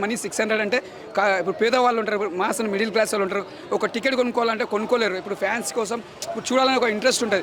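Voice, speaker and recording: A man with a high pitch and fairly even intonation speaks against noticeable background noise. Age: 80s+. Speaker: moviegoer, fan. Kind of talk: street interview answer.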